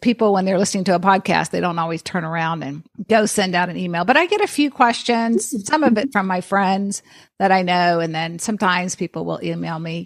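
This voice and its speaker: An ordinary speaking voice from a woman with an American accent, medium pitch and ordinary pitch variation, at a fairly quick pace on a very clean recording with a silent background. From grew up abroad in Vietnam and the Philippines, American parents. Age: 50s. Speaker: geriatric nurse and podcaster. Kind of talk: podcast interview.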